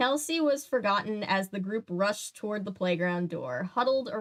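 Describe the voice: Simple, plain reading aloud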